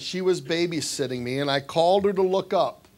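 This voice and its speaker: Speaking with a Midwestern American accent, a man talks at a fairly quick pace in a high pitch with ordinary pitch variation. Noticeable background noise runs under his voice. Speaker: basketball coach. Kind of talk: speech at an awards dinner. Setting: banquet hall with audience.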